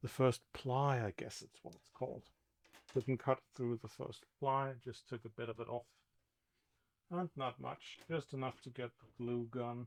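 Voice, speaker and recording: In a dry, close recording with no echo, a man with a non-native accent speaks fairly slowly at a medium pitch with fairly even intonation. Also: big swings in loudness. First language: not English. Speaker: boat restoration vlogger. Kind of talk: DIY tutorial narration. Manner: casual, hesitant musing.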